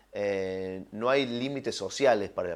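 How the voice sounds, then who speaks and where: A man's fairly low voice with fairly even intonation, very cleanly recorded against a silent background. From Argentina, Villa María (Córdoba). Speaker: film and TV director. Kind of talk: interview. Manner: hesitant, many fillers and repetitions.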